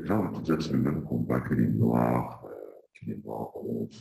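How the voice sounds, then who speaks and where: A soft-spoken man talks at a moderate pace. Vocal fry runs through his voice. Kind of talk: interview. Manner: halting. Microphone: too quiet at first.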